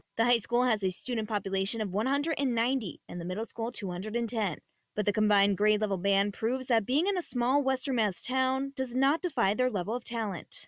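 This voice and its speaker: In an ordinary speaking voice, a woman talks at a fairly quick pace with hardly any pauses, using a fairly high pitch and ordinary pitch variation, on a very clean recording with a silent background and a dry, close sound with no echo. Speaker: television news reporter and anchor. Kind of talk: broadcast TV news reporting. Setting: on-location field report / studio news read.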